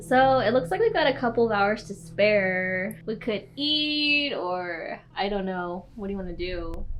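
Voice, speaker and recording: Against noticeable background noise, a woman speaks fairly slowly with hardly any pauses. Her medium-pitched voice has lively intonation. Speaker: paranormal YouTuber. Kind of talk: casual vlog narration. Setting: indoors in a hotel at night.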